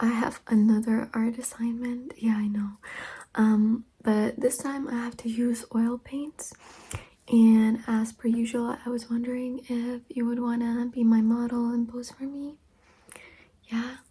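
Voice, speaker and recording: Soft-spoken and fairly slow, a woman talks at a high pitch in a flat monotone. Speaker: ASMR creator. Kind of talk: ASMR personal attention role play.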